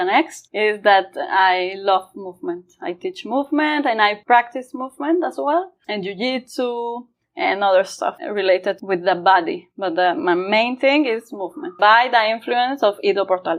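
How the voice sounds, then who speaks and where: Very wide pitch swings from a woman with a fairly high voice. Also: moderate pace, hardly any pauses. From Mexico. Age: 30s. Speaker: movement coach. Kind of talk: interview.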